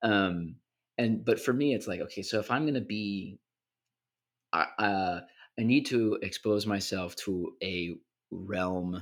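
A fairly low-pitched man with ordinary pitch variation, in a very clean recording with a silent background. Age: young. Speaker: podcast co-host and English teacher. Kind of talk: casual chat. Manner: halting.

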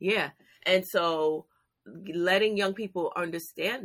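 A woman's ordinary speaking voice at a moderate pace, with ordinary pitch variation, on a very clean recording with a silent background. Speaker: youth career program founder. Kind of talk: casual interview.

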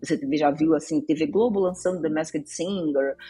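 A woman talks at a moderate pace. Music can be heard in the background. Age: 50s. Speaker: journalist. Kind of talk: podcast interview. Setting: studio.

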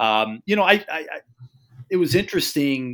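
In a very clean recording with a silent background, a man speaks in an unremarkable speaking voice at medium pitch, fairly slowly and with lively intonation. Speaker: college basketball guest analyst. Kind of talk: casual chat.

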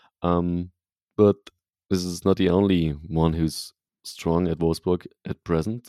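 A dark, mellow voice with a German accent, fairly slow with long, frequent pauses and a monotone, flat intonation, in a dry, close sound with no echo. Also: man, very deep, low pitch for a man. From Germany, Leipzig. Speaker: football podcast host. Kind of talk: casual chat.

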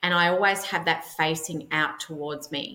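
This woman speaks with an Australian accent at a moderate pace. Her pitch is fairly low. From Melbourne, Australia. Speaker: personal stylist. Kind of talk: casual interview chat.

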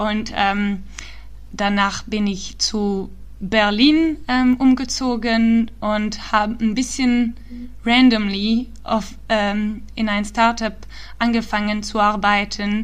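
A woman with a non-native accent speaks at a very slow pace, her fairly high pitch somewhat breathy. Her intonation is fairly even, and audible room echo surrounds her voice. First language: not German (speaking German). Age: 20s. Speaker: startup founder and climate activist. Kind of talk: interview. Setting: remote call. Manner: halting, many fillers.

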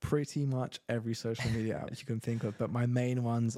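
The voice belongs to a man with a London accent and a medium pitch. His tone is dark and mellow, with monotone, flat intonation. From London, England. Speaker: real estate agent. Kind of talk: interview.

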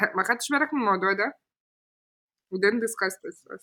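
A woman's bright, sharp voice with an Arabic accent and lively intonation. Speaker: podcast host. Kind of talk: casual chat, code-switching Arabic and English.

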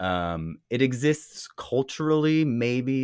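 With a Californian accent, a man speaks in very wide pitch swings. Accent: Californian American. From US West Coast, California Bay Area. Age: 40s. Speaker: interview subject of an oral history book. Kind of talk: interview. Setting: video call.

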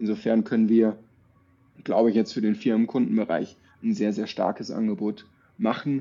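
A man speaks at a moderate pace. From northern Baden near Würzburg (Tauberbischofsheim area). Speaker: startup co-founder and managing director. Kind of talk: casual interview. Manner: relaxed, frequent fillers.

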